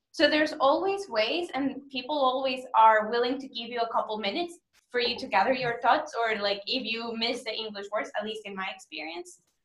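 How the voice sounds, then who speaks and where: A woman's high-pitched voice with a Spanish accent, fairly quick and with hardly any pauses, with big swings in loudness. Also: lively intonation. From Mexico. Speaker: business school student or alumnus. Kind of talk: webinar Q&A answer. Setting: online webinar.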